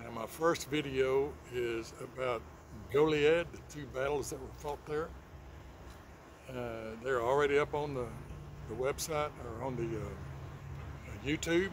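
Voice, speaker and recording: Somewhat breathy and relaxed, a man with a Texan accent speaks at a fairly slow pace with big swings in loudness, in a dry sound with no echo and noticeable background noise. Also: ordinary pitch variation. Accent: Texan drawl. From Texas. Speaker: channel host. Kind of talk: casual talk to camera. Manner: relaxed, hesitant, folksy. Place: garden. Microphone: phone near.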